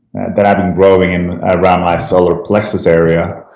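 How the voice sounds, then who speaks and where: At a moderate pace, a man speaks in a very deep, low pitch with audible room echo. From Sweden, Stockholm. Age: 30s. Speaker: cancer survivor, app founder. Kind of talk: interview testimony. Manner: hesitant with fillers.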